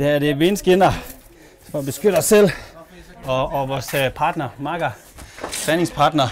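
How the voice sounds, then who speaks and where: Noticeable background noise is present. A man speaks at a fairly high pitch. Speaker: thai boxer. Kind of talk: casual chat. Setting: outdoors.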